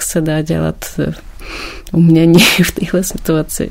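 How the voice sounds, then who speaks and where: A woman speaks at a very slow pace. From Ukraine, Kyiv. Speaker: painter and teacher. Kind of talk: interview.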